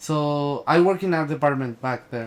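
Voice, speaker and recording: In a strong Mexican accent, a man speaks at a moderate pace with a fairly high pitch. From Mexico. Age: 20s. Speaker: actor and production designer. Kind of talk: casual interview. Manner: halting, many fillers and restarts.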